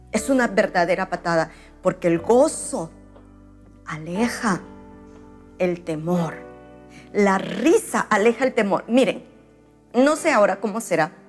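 Faint music plays behind a woman who speaks at a fairly slow pace with long, frequent pauses. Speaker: pastor. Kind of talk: sermon. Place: home room. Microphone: lapel.

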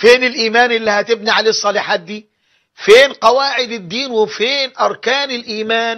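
Against a quiet background, a man with a high voice talks at a moderate pace with fairly even intonation. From Egypt. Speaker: Islamic preacher. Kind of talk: religious lecture. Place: studio. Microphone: lapel.

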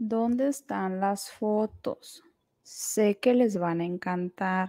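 With a Mexican accent, a woman speaks at a very slow pace in a dark, mellow tone, recorded dry and close with no echo on a very clean recording with a silent background. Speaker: YouTuber reacting to videos. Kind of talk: casual commentary. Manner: animated.

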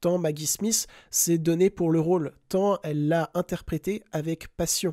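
In a very clean recording with a silent background, the speaker talks fairly slowly. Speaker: film podcaster. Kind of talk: tribute monologue. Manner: calm, measured.

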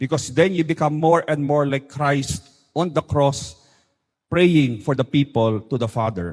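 An unremarkable speaking voice belongs to a man who talks at a moderate pace, fairly high for a man, with ordinary pitch variation. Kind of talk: talk or homily.

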